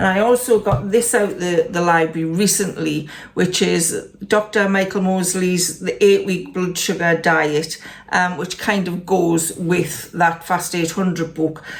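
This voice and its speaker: A woman with a fairly low pitch speaks at a fairly slow pace and keeps her intonation fairly even. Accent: Geordie. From northern England, Newcastle area. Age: 60s. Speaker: lifestyle vlogger. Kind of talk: casual vlog update. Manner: hesitant, with fillers.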